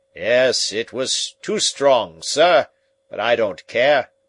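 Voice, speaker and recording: Using a raspy, put-on character voice with a fairly high pitch, a man speaks very slowly in a dry, close recording with no echo. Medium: read story. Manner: polite, deferential.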